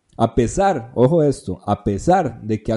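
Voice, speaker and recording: A man with a Costa Rican accent talks at a medium pitch with very wide pitch swings. Music plays in the background. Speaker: podcast host. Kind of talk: history narration; casual chat.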